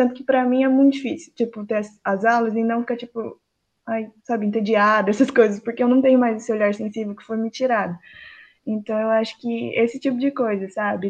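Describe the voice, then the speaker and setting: A woman's fairly high voice at a fairly quick pace, monotone and flat in intonation, with big swings in loudness against a quiet background. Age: 20s. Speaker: design student. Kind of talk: interview.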